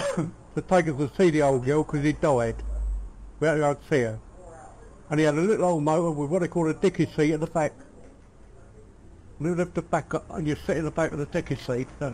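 A man with a south London accent at very fast pace, long, frequent pauses, fairly high pitch, dark, mellow tone and fairly even intonation. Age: 80s+. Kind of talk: family reminiscence told in conversation. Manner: casual, conversational.

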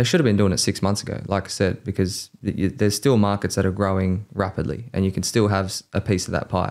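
A man with an Australian accent talks at a fairly quick pace with hardly any pauses. His fairly low voice keeps a fairly even intonation over a quiet background. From Australia, Campbelltown (Sydney). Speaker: mortgage broker, podcast co-host; podcast co-host. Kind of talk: casual chat; podcast conversation. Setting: studio. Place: studio. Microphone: studio mic.

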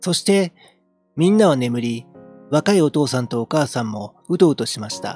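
The sound is dry, with no echo. Faint music sits in the background as the pace stays moderate. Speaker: amateur reader / game streamer. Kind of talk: literary audiobook reading. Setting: home recording with a handheld mic and audio interface.

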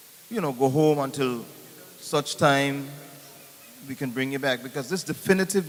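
Over noticeable background noise, a fairly high-pitched man talks with normal pitch movement. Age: 60s. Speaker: audience member asking questions. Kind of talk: town hall question. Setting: town hall meeting.

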